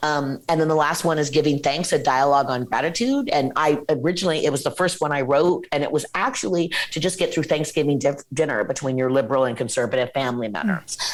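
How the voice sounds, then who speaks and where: With noticeable background noise behind her, a woman with an American accent and a very deep, low pitch speaks in an animated tone at a very fast pace, with ordinary pitch variation and hardly any pauses. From Washington State, US. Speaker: nonprofit founder and CEO. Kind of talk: interview. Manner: halting.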